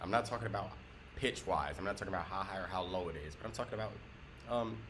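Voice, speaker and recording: Very deep and low in pitch, a man with an American accent talks at a very fast pace with lively intonation, with audible room echo. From US South. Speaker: guitar teacher. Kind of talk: tutorial. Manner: moderate pace.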